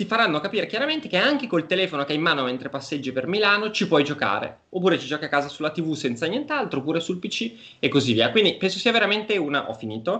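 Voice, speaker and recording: A man races along at a very fast pace with hardly any pauses. His high voice makes very wide pitch swings. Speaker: gaming media executive. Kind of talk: live-streamed discussion. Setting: video call. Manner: analytical.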